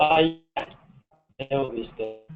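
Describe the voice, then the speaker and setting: A man's mid-pitched voice shifts up and down by a normal amount. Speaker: software engineer presenting a project proposal. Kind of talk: technical presentation. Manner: halting, many fillers. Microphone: far from the microphone.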